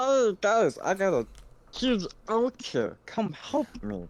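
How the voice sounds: A put-on character voice comes through at a fairly high pitch and a fairly slow pace. The background is quiet.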